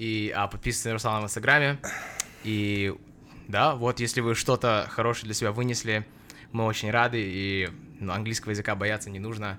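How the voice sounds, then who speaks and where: A man's fairly low voice at a fairly quick pace, fairly even in intonation, with long, frequent pauses. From Russia. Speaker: podcast host. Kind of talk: casual chat.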